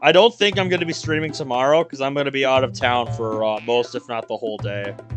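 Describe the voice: The passage is delivered as plain reading aloud.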